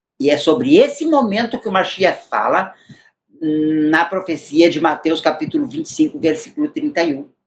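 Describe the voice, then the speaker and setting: His pitch is high and swings very widely. The man keeps a moderate pace. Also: big swings in loudness. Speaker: bible teacher. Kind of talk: bible study teaching.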